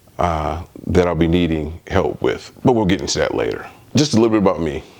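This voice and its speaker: Against noticeable background noise, a man with an American accent talks at a moderate pace in a very deep, low pitch with ordinary pitch variation. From US Midwest, Detroit. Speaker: spiritual vlogger. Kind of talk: personal testimony. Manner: halting, many fillers.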